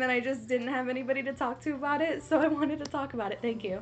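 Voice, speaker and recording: Noticeable background noise is present. A woman is speaking. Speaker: podcast co-host. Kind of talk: casual chat. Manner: excitable.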